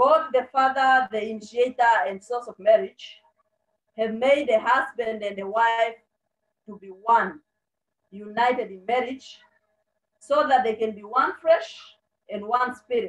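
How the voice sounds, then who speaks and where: With a quiet background, a woman speaks high at a fairly slow pace, pausing long and often, her loudness swinging widely. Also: ordinary pitch variation. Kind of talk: sermon. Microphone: video call.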